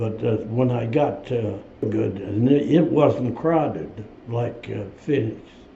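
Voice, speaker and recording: A man with an American accent talks at a very slow pace. Audible room echo surrounds his voice. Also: medium pitch for a man, ordinary pitch variation. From US Midwest. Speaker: war veteran. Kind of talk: interview. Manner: halting.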